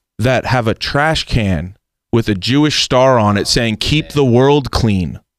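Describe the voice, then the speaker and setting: A man with a normal speaking voice and an American accent talks at a medium pitch and fairly slow pace, with ordinary pitch variation and very even loudness, in a dry, close sound with no echo on a very clean recording with a silent background. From United States. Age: 20s. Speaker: radio producer. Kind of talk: casual interview.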